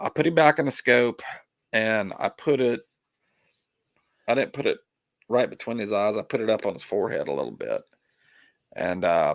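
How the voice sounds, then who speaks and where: In a put-on character voice, a man speaks raspy and hoarse at medium pitch and a moderate pace, with long, frequent pauses. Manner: serious, sober storytelling.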